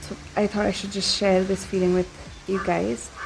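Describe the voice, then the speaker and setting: Soft-spoken, a woman talks at a moderate pace and medium pitch with ordinary pitch variation. Music plays in the background. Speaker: vlogger. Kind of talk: casual vlog talk. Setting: outdoors at a farm.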